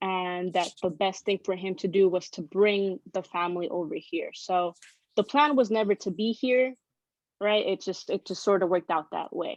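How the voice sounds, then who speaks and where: Against a quiet background, a woman speaks at a moderate pace and medium pitch with ordinary pitch variation, the sound dry and close with no echo. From Southern California, Baldwin Park (moved from Tijuana at five). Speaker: immigrant rights guest speaker. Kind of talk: interview, personal story. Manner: casual, many fillers.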